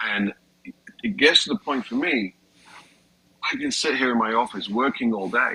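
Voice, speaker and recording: Over noticeable background noise, a man with a British accent talks at a moderate pace with long, frequent pauses, the sound dry and close with no echo. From Britain. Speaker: comedian. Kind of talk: casual chat.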